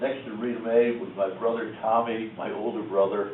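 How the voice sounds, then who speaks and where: Audible room echo and noticeable background noise surround a man with an American accent. He uses medium pitch at a moderate pace. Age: 90s. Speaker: war veteran. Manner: halting.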